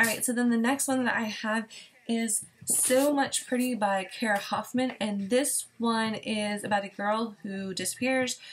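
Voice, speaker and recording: Her voice is somewhat breathy, and the woman speaks at a fairly high pitch with ordinary pitch variation. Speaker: book vlogger. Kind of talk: casual chat. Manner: fast.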